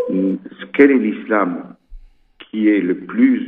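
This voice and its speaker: Here a man is speaking. His pace is very slow. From Ceuta, Spanish North Africa. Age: 70s. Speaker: mosque rector. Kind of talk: interview. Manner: halting, many repetitions.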